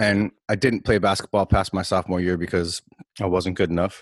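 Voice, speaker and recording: Against a quiet background, a man speaks at a moderate pace in a very deep, low pitch, with a dry, close sound and no echo. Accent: American. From Minnesota (Maple Grove). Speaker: podcast co-host. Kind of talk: casual chat.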